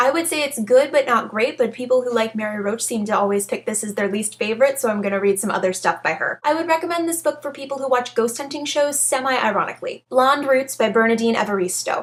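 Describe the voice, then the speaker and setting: Delivery is very fast, with hardly any pauses and lively intonation. Background noise is noticeable. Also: woman, high pitch for a woman. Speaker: book reviewer. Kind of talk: casual book review to camera.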